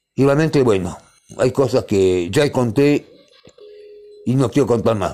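A man with a Rioplatense accent and a dark, mellow tone speaks at a fairly slow pace with lively intonation and long, frequent pauses. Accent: Argentine Rioplatense Spanish. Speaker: radio co-host. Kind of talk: casual radio chat.

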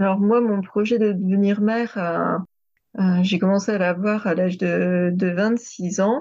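The woman speaks very slowly at a medium pitch in a dark, mellow tone. Her intonation is fairly even and her loudness very even, against a quiet background. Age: 30s. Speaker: sophrologist and former French teacher. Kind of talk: testimony. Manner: hesitant.

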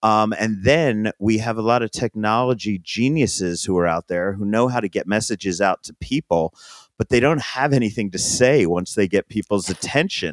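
On a very clean recording with a silent background and a dry, close sound with no echo, a man speaks at a moderate pace in an ordinary speaking voice, fairly low in pitch with ordinary pitch variation. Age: 50s. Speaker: food and music journalist. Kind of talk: interview conversation.

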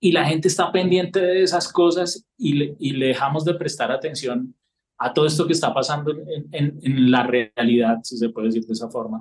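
The speaker uses a normal speaking voice with ordinary pitch variation and a moderate pace. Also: man, fairly high pitch for a man. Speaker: political cartoonist. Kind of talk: casual interview.

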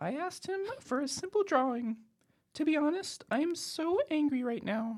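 The pitch sits high. It is a put-on character voice. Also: moderate pace. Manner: angry, indignant.

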